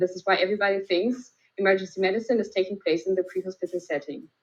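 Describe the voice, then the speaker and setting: A woman speaks very fast with a German accent. Her pitch is medium and varies in an ordinary way. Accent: German accent (non-native English). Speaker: emergency physician. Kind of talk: lecture. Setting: video call. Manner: hesitant, many fillers.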